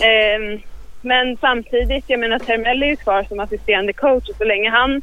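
A woman with a fairly high pitch speaks in an unremarkable speaking voice, with ordinary pitch variation. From Eskilstuna and Örebro area, Sweden. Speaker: sports management student. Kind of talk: interview.

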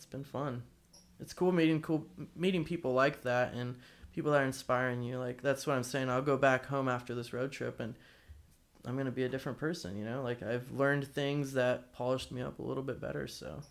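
An unremarkable speaking voice with an American accent moves at a fairly quick pace, with fairly even intonation and big swings in loudness on a very clean recording with a silent background. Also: man, medium pitch for a man. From Arizona, US. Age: 20s. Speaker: action sports photographer. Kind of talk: casual chat. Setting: in person at host's house.

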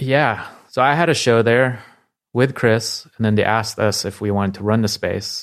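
In an unremarkable speaking voice, a man speaks at a moderate pace, medium in pitch with fairly even intonation. The recording is very clean, its background silent. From Bay Area, California (Palo Alto), moved from the Philippines at nine. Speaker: artist and designer. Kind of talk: interview. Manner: casual, filler-heavy.

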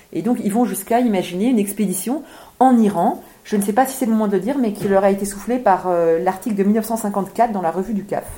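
This is an unremarkable speaking voice at a fairly quick pace. Pitch variation is ordinary. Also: woman, medium pitch for a woman. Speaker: author. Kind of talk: book event talk.

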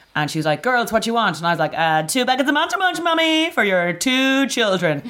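A woman talks very fast in an Irish accent. Her pitch swings very widely. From Ireland. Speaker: comedian. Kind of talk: casual chat.

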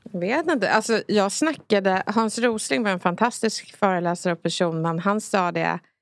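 A woman speaks at a moderate pace with medium pitch and ordinary pitch variation. She has a plain, everyday voice. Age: 30s. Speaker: rhetoric expert. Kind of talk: casual discussion.

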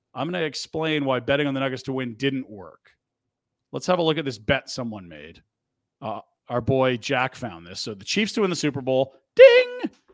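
The man's fairly high voice carries lively intonation. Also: very clean recording, silent background. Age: 40s. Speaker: sports radio host. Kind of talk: casual sports talk. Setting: studio. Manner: animated.

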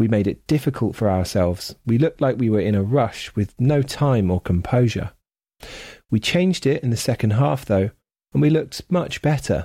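A man with a medium pitch and a dark, mellow, somewhat breathy tone speaks at a moderate pace with lively intonation and very even loudness. The recording is very clean, with a silent background and a dry, close sound with no echo. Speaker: audio programme reader. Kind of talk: reading aloud.

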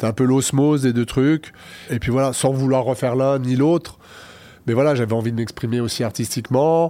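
A man with a plain, everyday voice speaks at a moderate pace and medium pitch, his intonation fairly even and his loudness very even, on a very clean recording with a silent background. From France, Lyon. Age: 50s. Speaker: party organizer and cabaret owner. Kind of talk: interview.

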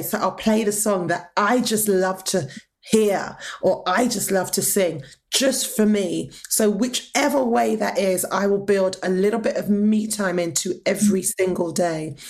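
With an ordinary speaking voice, a woman talks at a medium pitch with ordinary pitch variation and very even loudness. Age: 40s. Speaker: choir director and songwriter. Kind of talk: interview.

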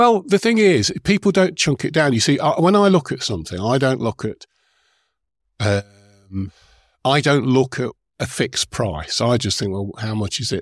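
A man talks at a medium pitch with very wide pitch swings. The sound is dry and close, with no echo. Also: moderate pace, very clean recording, silent background. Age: 60s. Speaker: event organiser and author. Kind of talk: interview conversation. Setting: live event recording.

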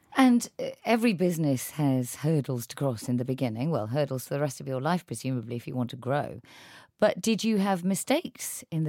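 Very deep and low in pitch, a woman talks at a very fast pace with very wide pitch swings, the sound dry and close with no echo on a very clean recording against a silent background. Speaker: podcast host. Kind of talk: interview. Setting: studio.

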